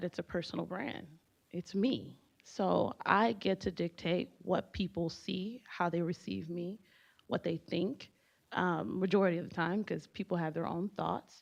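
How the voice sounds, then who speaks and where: With a Haitian accent and vocal fry, the speaker talks at a fairly slow pace with ordinary pitch variation over a quiet background. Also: woman. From US, Haitian immigrant family. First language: Haitian Creole. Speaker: panelist. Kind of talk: panel discussion.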